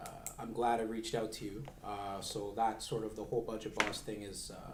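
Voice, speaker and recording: A man speaks at a fairly quick pace in a medium pitch with fairly even intonation, with noticeable background noise and audible room echo. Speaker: financial advisor. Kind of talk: casual interview chat. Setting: studio recording, streamed live. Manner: loud.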